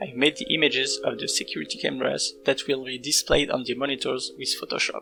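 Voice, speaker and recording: With music in the background, someone with a non-native accent speaks at a very fast pace with hardly any pauses. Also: man. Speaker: indie game developer. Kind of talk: devlog narration.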